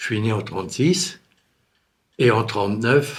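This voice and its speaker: Speaking very slowly, a man's medium-pitched voice comes across somewhat breathy. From Alsace, France. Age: 80s+. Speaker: grandparent sharing war memories. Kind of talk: testimony.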